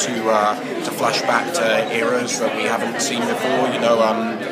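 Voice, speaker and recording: A man at a moderate pace, set against loud background noise. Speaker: actor. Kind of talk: interview answer. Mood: cheerful, animated. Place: hall. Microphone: handheld.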